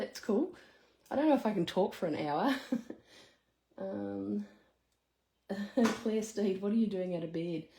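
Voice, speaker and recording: Lively intonation in an Australian accent, somewhat breathy, at a moderate pace. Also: woman. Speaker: craft demonstrator. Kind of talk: live craft tutorial. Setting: live stream. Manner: casual.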